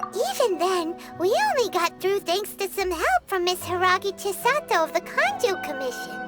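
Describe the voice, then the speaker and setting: Loud music plays behind a squeaky, extremely high-pitched cartoonish character voice that moves at a moderate pace. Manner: excitable, chatty.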